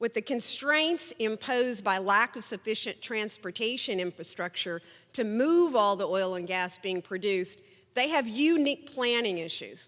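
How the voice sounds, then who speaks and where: A woman with an Oklahoma accent talks at a fairly slow pace in a bright, sharp tone, her intonation lively. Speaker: energy policy speaker, former oil and gas regulator. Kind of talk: conference presentation.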